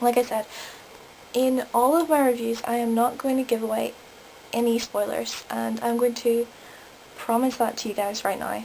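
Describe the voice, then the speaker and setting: Amid noticeable background noise, a woman with a Northern Irish accent speaks at a moderate pace in a fairly high voice, her intonation fairly even and broken by long, frequent pauses. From Northern Ireland. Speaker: vlogger. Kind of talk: review vlog.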